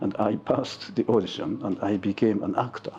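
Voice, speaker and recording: There is music in the background as a man talks at a moderate pace. He has a fairly low pitch and a Japanese accent. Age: 70s. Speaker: photographer. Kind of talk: interview. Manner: halting.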